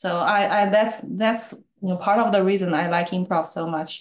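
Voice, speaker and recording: Speaking at a moderate pace, a woman uses a medium pitch and fairly even intonation. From China. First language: Chinese. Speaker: improv student and meetup speaker. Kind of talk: casual chat.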